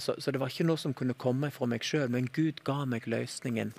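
This is a man with an unremarkable speaking voice at a medium pitch. He moves at a fairly quick pace with ordinary pitch variation. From Dalane, Rogaland, southwestern Norway. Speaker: flight attendant and TV presenter. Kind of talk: testimony.

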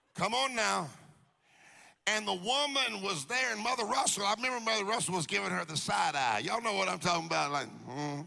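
In a raised, projected voice, a man with a Southern US accent and a high pitch talks at a fairly quick pace in an animated tone, his very wide pitch swings paired with very even loudness amid audible room echo. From US South, Jacksonville, Florida. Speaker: preacher. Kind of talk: sermon. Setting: stage with audience.

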